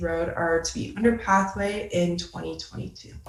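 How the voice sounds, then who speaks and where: A woman speaks with an American accent at a fairly low pitch. Noticeable background noise and audible room echo surround her voice. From Ann Arbor, Michigan. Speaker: graduate student presenter. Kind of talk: presentation.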